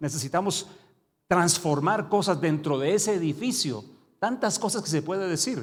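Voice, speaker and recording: Talking at a fairly quick pace, a man with a high pitch and ordinary pitch variation is heard with audible room echo. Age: 60s. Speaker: preacher. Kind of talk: sermon.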